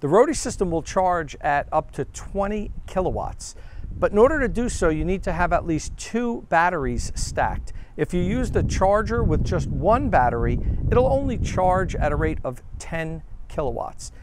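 A man's voice has a dry sound with no echo, with noticeable background noise behind it. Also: moderate pace. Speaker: EV charging reviewer. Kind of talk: product review presentation. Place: street.

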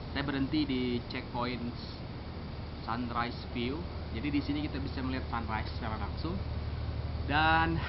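Loud background noise surrounds a man's voice. He leaves long, frequent pauses. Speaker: travel vlogger. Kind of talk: casual travel vlog narration. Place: open country.

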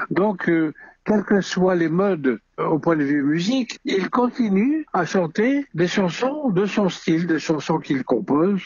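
Speaking at a very slow pace, a man uses a high pitch with very wide pitch swings and very even loudness. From Algeria, Algiers. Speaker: music arranger. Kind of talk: interview.

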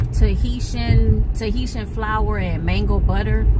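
The woman talks at a very slow pace while loud background noise fills the recording. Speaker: vlogger. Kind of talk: casual vlog chat. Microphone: phone near.

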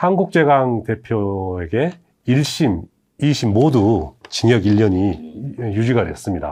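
Very wide pitch swings run through a man's medium-pitched voice. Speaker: workplace safety legal expert. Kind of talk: expert explainer talk. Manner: formal.

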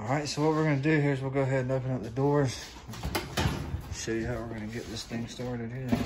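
A man talks at a fairly quick pace and a medium pitch. His intonation stays fairly even, with audible room echo.

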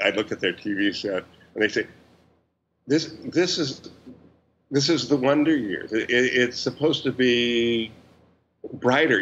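A man with a medium-pitched voice and ordinary pitch variation speaks at a fairly slow pace, with long, frequent pauses. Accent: General American. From US West Coast, Orange County, California. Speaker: cinematographer. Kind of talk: interview conversation.

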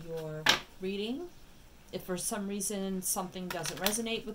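Amid loud background noise, a woman is talking. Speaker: tarot reader. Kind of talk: casual reading chat. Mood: warm, grateful. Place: home room.

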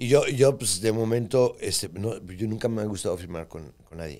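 At a moderate pace, a man with a plain, everyday voice speaks in a fairly low pitch with ordinary pitch variation. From Mexico. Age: 60s. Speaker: podcast co-host and businessman. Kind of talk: casual chat. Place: studio. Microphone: studio mic.

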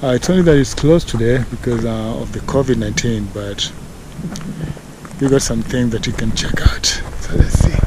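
A man talks at a moderate pace, in a dry sound with no echo. Noticeable background noise runs underneath. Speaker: travel vlogger. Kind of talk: casual vlog chat. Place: open country. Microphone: phone near.

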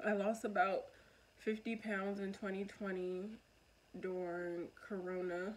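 A woman with an American accent speaks at a medium pitch and a very slow pace, her flat, monotone delivery broken by long, frequent pauses. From US Northeast, Philadelphia. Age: 20s. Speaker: vlogger. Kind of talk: casual monologue vlog. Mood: open, reflective. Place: home room. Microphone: phone near.

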